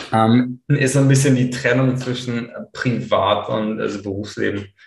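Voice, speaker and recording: Audible room echo surrounds a man's medium-pitched voice. His intonation is fairly even. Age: 30s. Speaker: blogger and SEO consultant. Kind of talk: interview. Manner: halting, many fillers.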